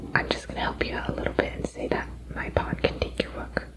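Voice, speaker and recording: A whispered voice at a moderate pace, with noticeable background noise behind it. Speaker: ASMR creator. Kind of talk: ASMR roleplay. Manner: whispered, soft-spoken.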